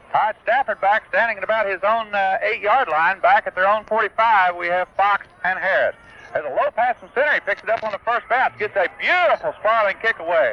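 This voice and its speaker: Over noticeable background noise, a man with a high voice talks fairly quickly with lively intonation and hardly any pauses. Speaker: radio play-by-play announcer. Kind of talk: live radio sports play-by-play. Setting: radio broadcast from a football stadium, 1978 recording. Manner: fast, excited, rapid-fire.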